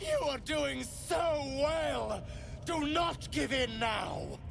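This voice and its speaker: Over loud background noise, a man drags out a put-on character voice at a very slow pace. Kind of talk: game character acting. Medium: video game. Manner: soothing, unctuous.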